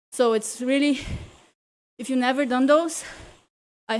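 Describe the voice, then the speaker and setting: Energetic in tone, a woman speaks at a moderate pace in a high pitch. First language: not English. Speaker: cycling coach and virtual racer. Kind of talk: live indoor cycling class coaching. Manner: energetic motivational cueing.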